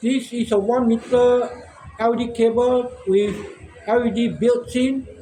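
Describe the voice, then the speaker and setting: A man's extremely high-pitched voice in a monotone, flat delivery, over noticeable background noise. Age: 60s. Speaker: shop owner and inventor. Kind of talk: casual monologue vlog. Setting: outdoors in front of his shop.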